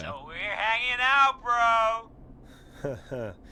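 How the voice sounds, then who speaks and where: A man puts on a character voice, pitched high and projected loudly with very wide pitch swings. Background noise is clearly audible. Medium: video game. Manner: casual, slangy.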